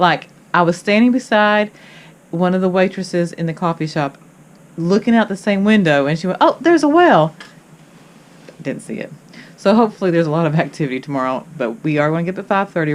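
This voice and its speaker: A woman with a Kentucky accent speaks at a fairly quick pace, her voice fairly low. Her pitch moves with ordinary variation. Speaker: travel vlogger. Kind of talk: casual vlog chat. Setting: on a cruise ship balcony. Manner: halting, many fillers.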